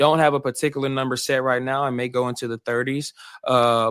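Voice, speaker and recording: Speaking in a Southern US accent at a fairly quick pace, a man keeps a medium pitch on a very clean recording with a silent background. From Arkansas. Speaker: podcast host. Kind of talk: podcast interview. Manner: animated.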